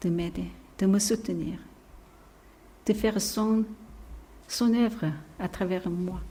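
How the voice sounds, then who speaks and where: Speaking very slowly over audible room echo, a woman uses a dark, mellow tone at medium pitch, with fairly even intonation and a somewhat breathy quality. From South Korea. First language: Korean (speaking French). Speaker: missionary preacher. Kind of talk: sermon. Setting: church. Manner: halting; soft-spoken.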